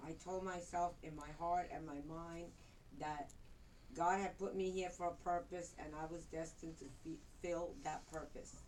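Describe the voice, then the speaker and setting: A woman speaks in a fairly low pitch. Audible room echo surrounds her voice. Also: fairly even intonation, moderate pace. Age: 60s. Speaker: retired interpreter and motivational speaker. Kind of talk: prepared speech. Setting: speech club meeting with audience.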